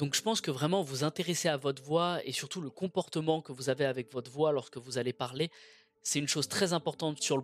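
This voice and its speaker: A fairly quick pace with ordinary pitch variation, in a dry, close sound with no echo. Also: man, very clean recording, silent background. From France. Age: 20s. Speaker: podcast host. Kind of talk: solo monologue. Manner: fast; projected from the belly.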